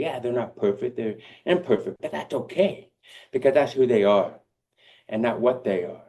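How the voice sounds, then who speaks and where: A man speaks in a dark, mellow tone. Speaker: motivational speaker. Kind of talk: keynote speech. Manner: halting.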